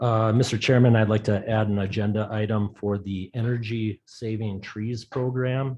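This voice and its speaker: Speaking at a moderate pace with hardly any pauses, a man with a Rhode Island accent holds a monotone, flat intonation at a fairly low pitch. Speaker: town councilor. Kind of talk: council meeting.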